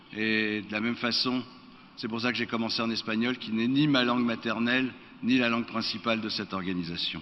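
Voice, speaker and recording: A man with a medium-pitched voice talks at a moderate pace, with noticeable background noise behind him. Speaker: board member of an internet governance body. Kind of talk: formal speech. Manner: formal.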